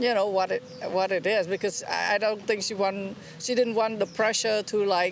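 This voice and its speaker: A woman speaks at a moderate pace, her pitch in the middle range with ordinary variation. Noticeable background noise runs under her voice. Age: 60s. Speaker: interviewee, member of the public. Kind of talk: street interview testimony. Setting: outdoors by the ocean. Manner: halting.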